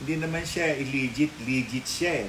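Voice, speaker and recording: The room echo is audible as a man talks. Background noise is also noticeable. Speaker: mystic commentator. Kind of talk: casual chat. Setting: live stream.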